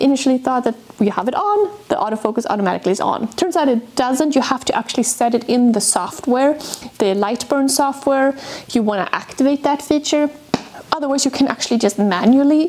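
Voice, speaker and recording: A woman's high-pitched voice, lively intonation, fairly quick pace. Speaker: maker reviewing a tool. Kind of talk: tutorial. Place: workshop. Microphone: lapel.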